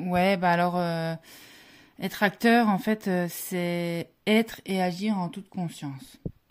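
Heard on a very clean recording with a silent background, a woman with a medium-pitched voice and ordinary pitch variation speaks at a very slow pace. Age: 20s. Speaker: former biathlete and ski instructor. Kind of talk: interview.

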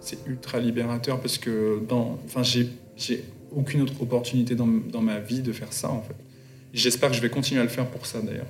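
A man speaks in a flat monotone at a moderate pace. His pitch sits in the middle range, and the room echo is audible. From Guadeloupe and Paris suburbs. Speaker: artist and fashion designer. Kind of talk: interview.

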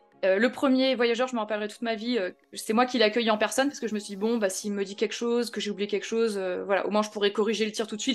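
Someone talks at a very fast pace with fairly even intonation. Music sits in the background. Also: woman, hardly any pauses. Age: 30s. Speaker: real estate investor and trainer. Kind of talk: casual interview.

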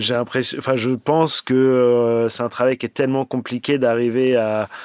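A man speaks at a very slow pace, with noticeable background noise. The sound is dry and close, with no echo. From Paris, France. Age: 40s. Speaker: animation supervisor. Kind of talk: interview.

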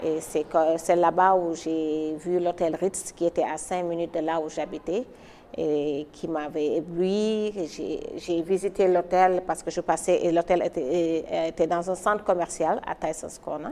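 The woman's voice is fairly low in pitch and fairly even in intonation. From Senegal, Dakar. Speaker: hotel entrepreneur. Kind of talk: interview testimony. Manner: halting, repeats words.

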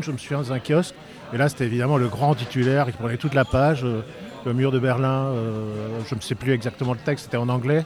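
Over noticeable background noise, a man talks at a very fast pace. His pitch variation is ordinary. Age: 50s. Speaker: eyewitness of historical event, filmmaker. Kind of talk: interview testimony. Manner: halting, many hesitations.

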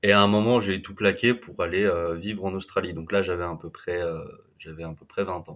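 A man talks at a moderate pace with a very deep, low pitch. His intonation stays fairly even. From western France, Vendée (Atlantic coast). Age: 20s. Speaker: explorer and adventurer. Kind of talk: interview storytelling. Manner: halting, many repetitions and fillers.

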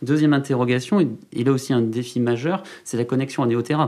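Speaking at a fairly quick pace, a man has a dark, mellow tone at medium pitch with ordinary pitch variation. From Landes, southwest France. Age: 30s. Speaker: mayor and regional politician. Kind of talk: interview.

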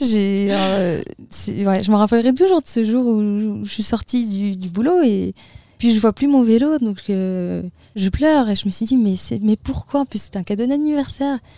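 With a dark, mellow tone, a woman speaks at a fairly high pitch and a fairly slow pace with ordinary pitch variation. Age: 20s. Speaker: long-distance roller skating traveller. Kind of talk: interview. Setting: festival studio.

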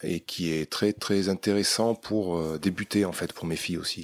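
A man speaks with a very deep, low pitch. The very clean recording has a silent background and a dry, close sound with no echo. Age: 40s. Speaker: outdoor gear shop advisor. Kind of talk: casual interview. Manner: halting, many repetitions and fillers.

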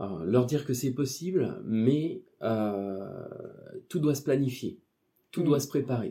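A somewhat breathy man's voice with a dark, mellow tone and lively intonation, at a very slow pace broken by long, frequent pauses. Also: medium pitch for a man. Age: 40s. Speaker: office employee and part-time hypnotherapist. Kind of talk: interview. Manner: hesitant, many fillers.

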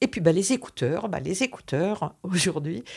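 This woman's pitch sits fairly low. Her tone is dark and mellow. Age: 60s. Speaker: visually impaired guest. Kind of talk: interview testimony. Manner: halting.

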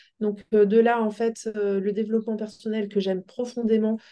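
At a moderate pace, a woman with medium pitch speaks in a dark, mellow tone. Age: 40s. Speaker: coaching client sharing her experience. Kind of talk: interview testimony.

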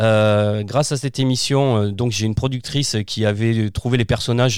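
A man with an ordinary speaking voice talks at a moderate speed, his pitch medium and its variation ordinary. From southern France, Provence (Arles area). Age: 40s. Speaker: children's author and performer. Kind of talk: casual interview. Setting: remote recording from his own studio.

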